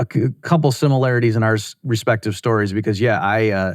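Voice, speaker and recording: In a very clean recording with a silent background, a man with an American accent and an unremarkable speaking voice talks at a fairly quick pace with ordinary pitch variation. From United States. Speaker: economist podcast host. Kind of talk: podcast interview.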